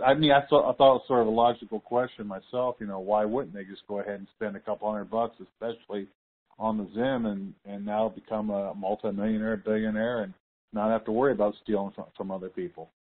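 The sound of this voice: Fast-paced and fairly low in pitch, the man talks with fairly even intonation.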